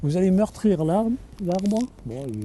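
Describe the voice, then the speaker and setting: A man speaks with a dark, mellow tone at a fairly slow pace. His pitch swings very widely. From Nîmes area, southern France. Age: 70s. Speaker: ecologist election candidate. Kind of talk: interview answer. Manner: casual, relaxed.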